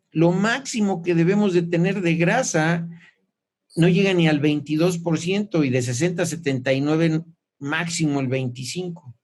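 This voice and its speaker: A man's high-pitched voice at a moderate pace, with ordinary pitch variation, very even loudness and audible room echo. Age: 60s. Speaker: clinical nutrition doctor. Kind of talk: informal lecture.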